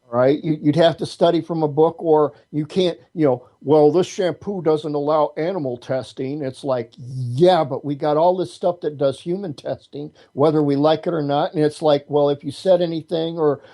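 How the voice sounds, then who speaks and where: The speech moves at a moderate pace with hardly any pauses. Its intonation stays fairly even. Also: man. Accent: American. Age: 60s. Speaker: martial artist and witch. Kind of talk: interview. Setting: internet radio show. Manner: repetitive, halting starts.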